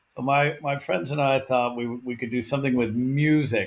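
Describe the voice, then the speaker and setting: This is an ordinary speaking voice, a man's at medium pitch. He talks at a moderate pace with an American accent. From US West Coast, Portland Oregon. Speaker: nonprofit founder and CEO. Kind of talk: podcast interview.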